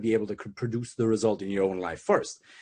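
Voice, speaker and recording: Someone with a German accent talks at a very fast pace with fairly even intonation. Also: man. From Germany. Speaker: dating coach. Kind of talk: casual interview chat.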